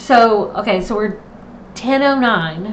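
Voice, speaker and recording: Pitched fairly high, a woman talks with lively intonation while an audible echo comes off the room. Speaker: planner content creator. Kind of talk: live stream tutorial. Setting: home live stream, camera off. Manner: casual, chatty.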